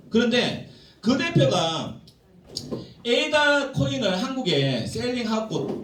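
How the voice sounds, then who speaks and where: Very wide pitch swings mark this man's speech, heard with audible room echo and noticeable background noise. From South Korea, Gyeongsang (Jinju, South Gyeongsang). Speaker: business seminar speaker. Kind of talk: seminar lecture.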